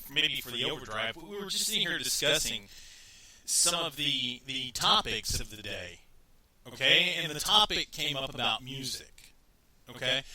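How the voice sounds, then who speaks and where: With a Texan accent, a man speaks at a moderate pace, his fairly high pitch carrying lively intonation. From Texas. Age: 30s. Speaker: radio talk show host. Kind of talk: casual talk radio monologue. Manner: rambling with frequent repetitions.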